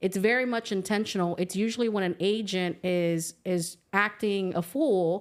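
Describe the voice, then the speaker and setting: A woman at a medium pitch and fairly slow pace with ordinary pitch variation on a very clean recording with a silent background. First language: not English. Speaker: real estate agent. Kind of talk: casual chat.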